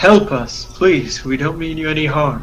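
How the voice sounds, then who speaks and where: A man doing a put-on character voice, fairly high in pitch, at a moderate pace, with clear background noise. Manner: pleading.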